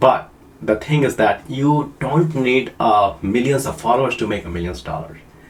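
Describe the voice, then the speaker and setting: A man with a non-native accent speaks at a medium pitch and moderate pace, using lively intonation. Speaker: online marketing coach. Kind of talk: casual tutorial to camera. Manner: halting, many fillers.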